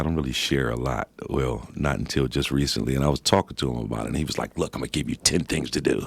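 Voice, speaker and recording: Vocal fry in a male voice, pitch moving in an ordinary way. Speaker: rapper and visual artist. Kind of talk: radio interview answer.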